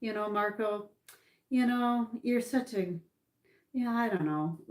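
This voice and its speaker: Speaking with a Canadian accent, a woman keeps a fairly slow pace. Her pitch sits fairly high. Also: ordinary pitch variation. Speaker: political commentator. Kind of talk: livestream monologue. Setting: livestream. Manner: loud.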